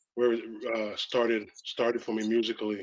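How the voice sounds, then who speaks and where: Speaking with a slight Belizean accent, a man delivers his words at a moderate pace and medium pitch in a flat, monotone intonation. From Belize, Belize City. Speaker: rapper. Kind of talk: interview. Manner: halting, many fillers.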